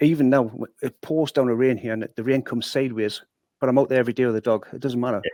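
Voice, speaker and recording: A man with a Geordie accent at a very fast pace, medium in pitch, with a dark, mellow tone and a dry, close sound with no echo. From northeast England, Newcastle (Newburn). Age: 60s. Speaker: former boxer and sales manager. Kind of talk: podcast interview, life story. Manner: animated storytelling.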